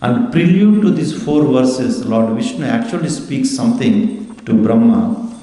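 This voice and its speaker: A man with an Indian accent and very wide pitch swings, amid noticeable background noise and audible room echo. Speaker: religious teacher. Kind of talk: scripture class.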